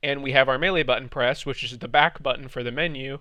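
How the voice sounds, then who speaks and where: A man talks with a fairly high pitch. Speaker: game modding tutorial creator. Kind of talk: tutorial. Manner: fast.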